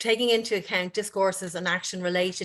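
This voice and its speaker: Against a quiet background, a woman with an Irish accent speaks at medium pitch in a monotone, flat intonation. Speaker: university director and researcher. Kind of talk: conference presentation.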